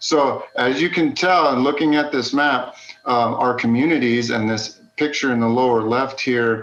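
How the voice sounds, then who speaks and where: A man with an American accent talks at medium pitch and a moderate pace with ordinary pitch variation, very even loudness and hardly any pauses, amid noticeable background noise and audible room echo. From West Texas, El Paso. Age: 40s. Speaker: geology instructor. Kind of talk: lecture.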